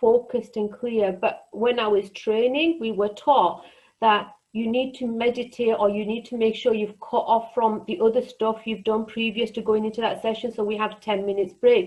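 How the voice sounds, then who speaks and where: A woman with a fairly high pitch talks at a moderate pace in a normal speaking voice, her intonation fairly even. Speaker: counsellor. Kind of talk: online group workshop presentation.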